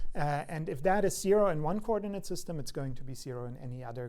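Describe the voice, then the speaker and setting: Speaking at a very fast pace, a man is heard with audible room echo. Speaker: university lecturer. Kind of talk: lecture. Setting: lecture hall. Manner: hesitant with fillers.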